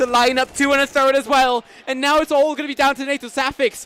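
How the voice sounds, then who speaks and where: The man talks at a very fast pace with an American accent. His voice sounds dry and close, with no echo. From Canada. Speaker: esports commentator. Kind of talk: live commentary.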